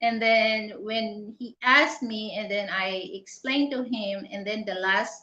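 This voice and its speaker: A woman with a Filipino accent at a very slow pace, with ordinary pitch variation. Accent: Tagalog-accented English. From Philippines. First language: Tagalog. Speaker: channel host. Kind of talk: casual live interview chat. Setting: live stream. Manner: halting, many fillers.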